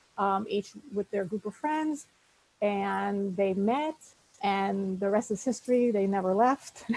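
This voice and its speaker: Noticeable background noise behind a woman at medium pitch with ordinary pitch variation and a fairly slow pace. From New Orleans, US South. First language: Spanish. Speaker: newspaper editor. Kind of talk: guest talk.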